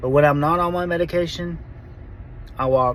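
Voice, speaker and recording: With noticeable background noise and audible room echo, a man talks with fairly even intonation. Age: 40s. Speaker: vlogger sharing Parkinson's diagnosis. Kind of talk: personal testimony. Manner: halting, self-correcting.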